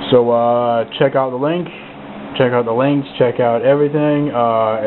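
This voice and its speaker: Against noticeable background noise, a man speaks at a moderate pace with medium pitch and fairly even intonation. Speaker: model railroad hobbyist vlogger. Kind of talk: casual video review. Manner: halting, many filler words.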